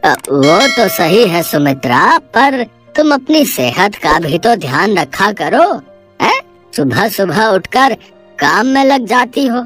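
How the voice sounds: A man's cartoonish character voice, high-pitched with very wide pitch swings, over faint music in the background. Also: fairly slow pace.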